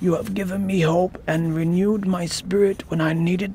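A put-on character voice goes at a moderate pace over clear background noise. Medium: read story. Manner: frustrated, then wondering and grateful.

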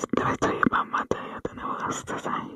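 A woman is whispering. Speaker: ASMR creator. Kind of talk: ASMR whispered talk to camera in a gas mask. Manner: whispered, muffled, soft-spoken. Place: home room. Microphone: earbuds.

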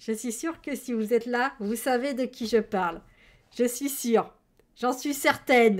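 Loud and animated, a woman talks at a fairly slow pace with a high pitch and ordinary pitch variation. The background is quiet. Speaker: streamer. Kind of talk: casual chat. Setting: livestream. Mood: playful, enthusiastic. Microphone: headset.

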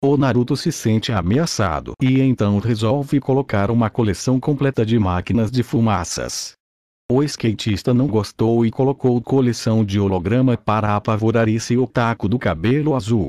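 Speaking at a moderate pace and medium pitch with ordinary pitch variation, a man has a dark, mellow tone and very even loudness, captured with a dry, close sound with no echo against a quiet background. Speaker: gaming commentator. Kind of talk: playful gaming commentary, mock sports-style narration of a Habbo trade duel. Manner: animated, exaggerated, joking.

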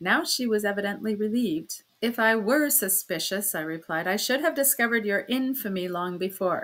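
The passage is read aloud in a natural voice.

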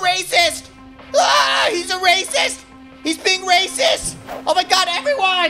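An extremely high-pitched voice talks at a fairly slow pace with clear music in the background. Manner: shrill, indignant.

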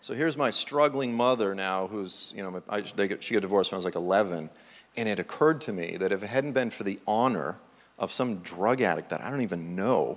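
A man talks at a fairly quick pace with an American accent. His pitch sits fairly low. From Massachusetts. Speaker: preacher and author. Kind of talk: sermon. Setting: church. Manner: animated. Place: church.

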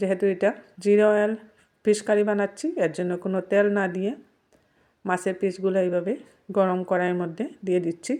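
A woman speaks at a medium pitch with a dark, mellow tone and fairly even intonation against a quiet background. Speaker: cooking channel host. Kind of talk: cooking tutorial.

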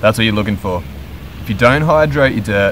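A man is speaking, and there is light background noise. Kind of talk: tutorial. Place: garden.

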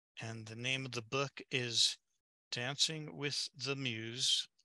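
A man speaking at a very slow pace, in a dry, close sound with no echo. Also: long, frequent pauses, big swings in loudness. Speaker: webinar moderator. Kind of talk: webinar moderation. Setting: video call.

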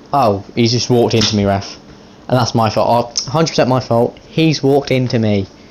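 Noticeable background noise sits behind a man speaking at medium pitch with ordinary pitch variation. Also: moderate pace, very even loudness. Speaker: gaming YouTuber. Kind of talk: live commentary over video game football match. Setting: gaming video with voiceover. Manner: informal, chatty, addressing viewers and players as 'mate'.

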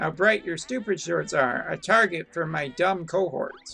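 Over faint background music, a man does a put-on character voice at a high pitch and a moderate pace. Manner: mocking, taunting.

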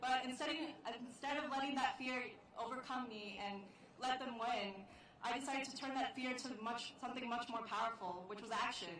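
A woman with a high-pitched, nervous voice speaks at a fairly quick pace with ordinary pitch variation, over strong room echo and light background noise. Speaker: college student. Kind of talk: rally speech. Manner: halting, nervous. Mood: emotional, earnest testimony. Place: stage. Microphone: podium.

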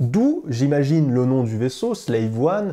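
Quiet surroundings and a dark, mellow tone from a man. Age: 20s. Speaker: tech news streamer. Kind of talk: casual chat. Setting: studio. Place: studio.

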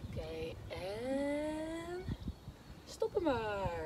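A woman talks while loud background noise fills the recording. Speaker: fitness instructor. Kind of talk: workout instruction. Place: open country. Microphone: camera far.

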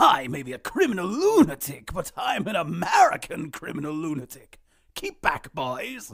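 Putting on a cartoonish character voice, a man speaks at a fairly slow pace with a fairly high pitch and a theatrical tone. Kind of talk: cartoon villain impression. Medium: voice reel. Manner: manic, mocking, theatrical.

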